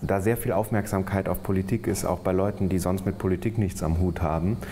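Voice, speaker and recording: Over light background noise, a man speaks at a moderate pace. His pitch is very deep and low, and his intonation fairly even. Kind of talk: interview answer. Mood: relaxed, friendly. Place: office. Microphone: lapel.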